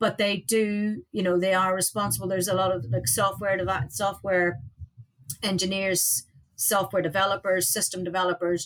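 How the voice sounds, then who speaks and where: This woman speaks at a medium pitch with an Irish accent. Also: lively intonation, moderate pace. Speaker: aviation safety director, former air traffic controller. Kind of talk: interview. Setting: studio.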